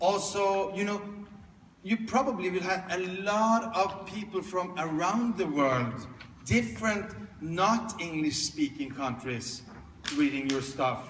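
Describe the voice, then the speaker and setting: Amid noticeable background noise and audible room echo, a man with a high voice speaks very slowly with lively intonation. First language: non-English. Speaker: speaker and coach. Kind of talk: keynote Q&A. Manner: halting.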